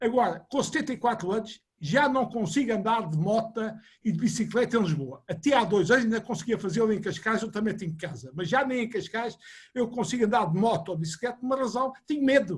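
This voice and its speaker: This man sounds animated, with lively intonation. His pitch is high and his pace fairly quick. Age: 70s. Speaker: engineer, webinar panelist. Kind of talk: panel discussion.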